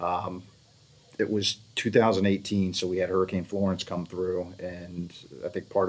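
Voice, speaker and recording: This man's American accent comes with a very deep, low pitch. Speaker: winery co-owner. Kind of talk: casual chat.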